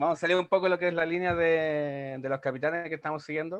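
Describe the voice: A man talks fast in a clear, smooth tone at a fairly high pitch. His pitch barely moves.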